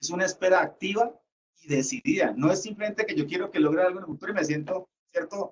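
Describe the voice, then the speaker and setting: This speaker talks at a very fast pace with lively intonation and a Cali accent. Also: man. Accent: Cali (caleño) Colombian Spanish. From Colombia, Cali. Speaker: lecturer. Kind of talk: lecture.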